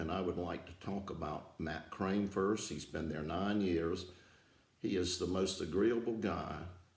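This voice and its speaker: A somewhat breathy man, very deep and low in pitch, with ordinary pitch variation, fairly slow pace and audible room echo. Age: 70s. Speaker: aerodrome founder and aviation enthusiast. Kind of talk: prepared thank-you speech. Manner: halting, with filler words.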